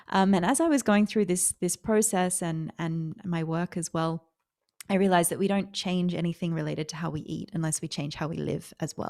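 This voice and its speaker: This woman has an Australian accent, a fairly low pitch, fairly even intonation and a fairly quick pace. The recording is very clean with a silent background and a dry, close sound with no echo. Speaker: author and sustainable food founder. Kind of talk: interview.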